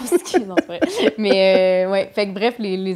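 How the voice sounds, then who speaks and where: A woman at a medium pitch, fairly slow pace, noticeable background noise. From Quebec City suburbs, Quebec. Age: 30s. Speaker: comedian. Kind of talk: casual chat.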